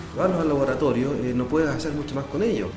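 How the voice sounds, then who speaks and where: Over noticeable background noise and audible room echo, a man talks at a fairly high pitch with lively intonation. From northern Chile, Atacama region. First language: Spanish (speaking Portuguese). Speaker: astrobiology researcher. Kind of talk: interview. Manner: halting, mixing Spanish and Portuguese.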